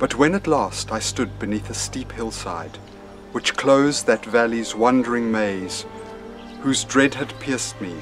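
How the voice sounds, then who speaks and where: Over clear music in the background, a man talks at a fairly slow pace with ordinary pitch variation. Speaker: poetry reader. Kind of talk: poetry reading. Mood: calm, solemn. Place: garden. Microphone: phone near.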